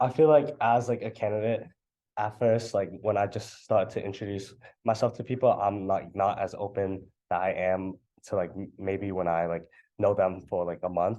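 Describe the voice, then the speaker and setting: Against a quiet background, a man with a fairly low pitch and a dark, mellow tone speaks at a moderate pace with ordinary pitch variation. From New Hampshire. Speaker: student club election candidate. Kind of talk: candidate Q&A interview. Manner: loud; halting, filler-heavy.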